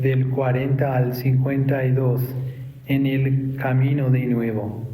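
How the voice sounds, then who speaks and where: Amid audible room echo and noticeable background noise, a man speaks at a very slow pace and medium pitch in a monotone, flat intonation. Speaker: pastor. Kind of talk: sermon.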